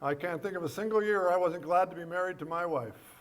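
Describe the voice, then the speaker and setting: Audible room echo surrounds a man's high voice as he talks fairly quickly with ordinary pitch variation. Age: 70s. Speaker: comedian. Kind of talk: stand-up; casual chat. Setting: stage with audience.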